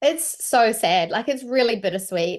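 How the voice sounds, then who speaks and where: A woman speaks in a fairly high register, her pitch swinging very widely. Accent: New Zealand. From New Zealand. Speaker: voice actor. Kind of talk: interview.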